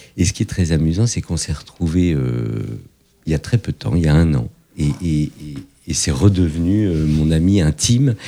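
With a dark, mellow tone, the voice moves at a fairly slow pace and carries lively intonation. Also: man. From France, Paris suburbs (Fontenay-sous-Bois). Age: 50s. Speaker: entrepreneur. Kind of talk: interview. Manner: hesitant, many fillers.

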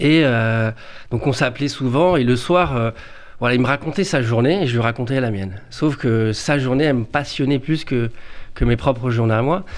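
Moderate pace from a man with a medium pitch and ordinary pitch variation. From Paris suburbs, France. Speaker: youth educator. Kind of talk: radio interview. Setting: radio studio. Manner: halting.

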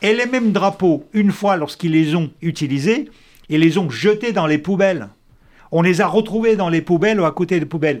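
At a moderate pace, a man with a high pitch speaks at a very even loudness. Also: ordinary pitch variation. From Soviet Union (Russia). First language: Russian (speaking French). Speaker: former intelligence officer and essayist. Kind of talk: debate.

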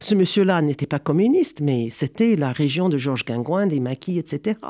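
A man with a fairly high pitch and a dark, mellow tone speaks at a fairly slow pace with lively intonation, the sound dry and close with no echo against a quiet background. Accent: American. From United States. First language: English (speaking French). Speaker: history professor. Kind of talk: interview. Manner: halting.

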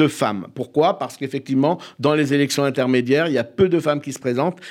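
On a very clean recording with a silent background, a man talks at a very fast pace with a fairly high pitch and ordinary pitch variation. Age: 50s. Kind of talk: radio interview.

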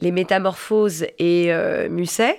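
Speaking at a very slow pace, a woman uses a medium pitch with ordinary pitch variation. The recording is very clean, with a silent background. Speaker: stage actress and director. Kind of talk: casual chat.

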